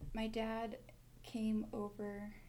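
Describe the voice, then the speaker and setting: In an American accent, a woman with a fairly high voice speaks amid audible room echo. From Montana, Mexican family. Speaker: university student, medical interpreter. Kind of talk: casual interview.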